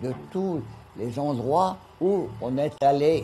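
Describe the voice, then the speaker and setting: Pitched fairly high, a man's voice rises and falls in an ordinary way. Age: 80s+. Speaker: retired bargeman. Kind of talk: documentary interview, commenting home film.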